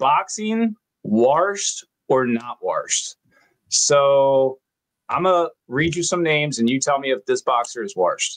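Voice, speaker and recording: With a Baltimore accent, a man talks at a very slow pace and a fairly high pitch, his pitch swinging very widely, in a dry, close sound with no echo. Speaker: podcast host. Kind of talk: casual chat.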